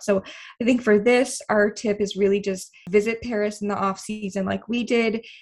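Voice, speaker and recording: At a fairly quick pace, a woman talks in a somewhat breathy voice. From Boston, US Northeast. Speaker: travel blogger, podcast co-host. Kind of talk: casual chat.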